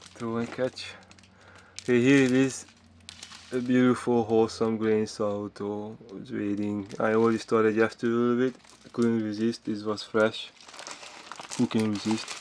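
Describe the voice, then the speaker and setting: A man's flat, monotone delivery at a moderate pace, broken by long, frequent pauses, over noticeable background noise. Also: medium pitch for a man. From Hungary. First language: Hungarian. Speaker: vlogger. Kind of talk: casual monologue vlog. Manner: halting, with many fillers.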